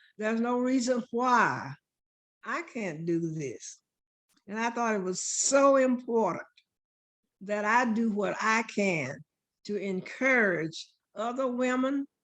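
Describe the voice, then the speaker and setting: Long, frequent pauses break up a woman's very slow speech. Her fairly high voice has lively intonation. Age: 80s+. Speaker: retired senior, gun association member. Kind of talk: interview answer.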